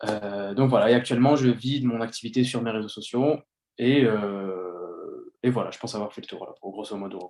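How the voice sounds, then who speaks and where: A man with an unremarkable speaking voice and a medium pitch talks at a moderate pace, with ordinary pitch variation and big swings in loudness. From Paris region, France (Yvelines). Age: 20s. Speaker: influencer, former police officer. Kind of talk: casual interview chat.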